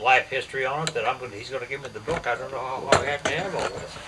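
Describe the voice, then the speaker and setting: A man speaks at a very fast pace. Noticeable background noise runs under his voice. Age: 90s. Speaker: elderly man recounting family history. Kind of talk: casual family conversation. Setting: at home with family. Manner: halting, repetitive.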